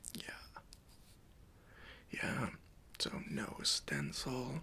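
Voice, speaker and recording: Someone whispers at a very slow pace. The tone is relaxed. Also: man. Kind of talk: ASMR roleplay, personal attention. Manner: soft-spoken, friendly, relaxed.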